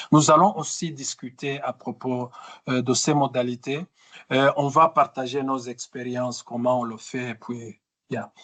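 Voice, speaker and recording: A fairly slow pace, with a dry, close sound and no echo. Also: man. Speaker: trainer. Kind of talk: webinar training session. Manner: halting, many fillers and repetitions.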